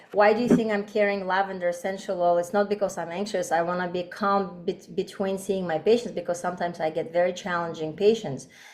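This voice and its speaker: A woman uses a normal speaking voice at a medium pitch with fairly even intonation. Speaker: doctor and aromatherapy teacher. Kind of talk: online workshop presentation.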